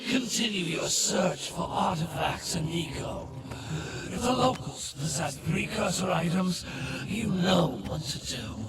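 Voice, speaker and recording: A cartoonish character voice from a man, high-pitched, at a fairly slow pace, with slight echo and loud background noise. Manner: cold, commanding.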